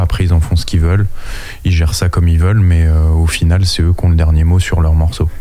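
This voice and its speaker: Over noticeable background noise and audible room echo, a man speaks in a very deep, low pitch. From France, Anjou. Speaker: band manager and rapper. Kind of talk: casual chat.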